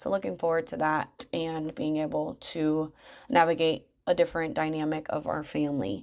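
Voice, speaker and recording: Against a quiet background, a woman with an American accent speaks at a moderate pace in a very deep, low pitch with lively intonation. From Michigan, US Midwest. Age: 30s. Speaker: podcast host and money coach. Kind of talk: casual monologue.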